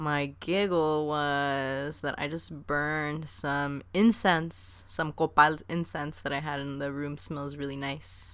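A woman with a very deep, low voice speaks very slowly with hardly any pauses and ordinary pitch variation. The recording is very clean, with a silent background. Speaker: podcast co-host. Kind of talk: casual chat. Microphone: better new mic.

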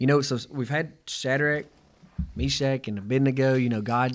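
A man with a plain, everyday voice talks at a moderate pace and medium pitch, using ordinary pitch variation. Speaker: podcast co-host. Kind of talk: casual chat.

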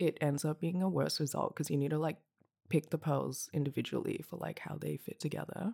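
A woman speaks with vocal fry in a very clean recording with a silent background. The sound is dry and close, with no echo. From Hong Kong. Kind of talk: casual chat.

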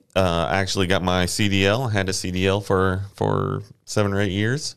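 A man speaks at a moderate pace with a Texan accent. His pitch sits fairly low. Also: quiet background. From Houston area, Texas (Friendswood). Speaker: safety manager, former firefighter. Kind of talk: casual interview.

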